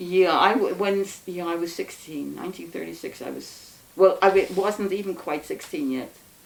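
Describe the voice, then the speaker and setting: Speaking with an American accent, a woman keeps a moderate pace with hardly any pauses. Her volume swings a lot, and background noise is noticeable. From New York City. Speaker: anarchist interviewee. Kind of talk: oral history interview. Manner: halting.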